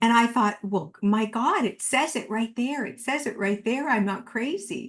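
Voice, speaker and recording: At a fairly slow pace, a woman with a plain, everyday voice speaks at a fairly high pitch with ordinary pitch variation against a quiet background. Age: 60s. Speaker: author and medium. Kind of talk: interview conversation.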